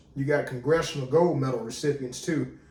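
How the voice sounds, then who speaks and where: An animated man with a fairly high pitch speaks at a fairly quick pace. Noticeable background noise and audible room echo fill the recording. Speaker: military veteran, video commentator. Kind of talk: casual commentary monologue. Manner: casual, animated.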